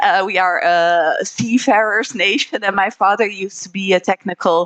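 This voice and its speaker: A woman with a Dutch accent speaks at medium pitch and a fairly slow pace, her intonation fairly even. The sound is dry and close, with no echo. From Netherlands. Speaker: trade promotion representative. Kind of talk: panel presentation.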